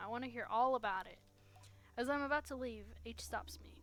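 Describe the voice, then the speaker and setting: Moderate-paced speech over music in the background. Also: woman. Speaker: gaming streamer. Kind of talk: gameplay commentary reading game text aloud. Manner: halting, stumbles over words.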